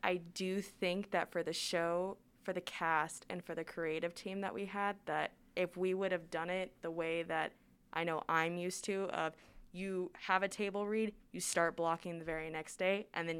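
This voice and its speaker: A woman at a fairly low pitch, monotone and flat in intonation, at a moderate pace on a very clean recording with a silent background. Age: 20s. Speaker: theater student. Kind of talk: casual chat.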